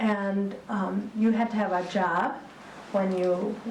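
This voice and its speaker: Over noticeable background noise and audible room echo, a woman with an American accent talks at a medium pitch with fairly even intonation. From Texas, then Michigan. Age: 60s. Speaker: retired school principal. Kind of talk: public talk on local history. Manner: hesitant, many fillers.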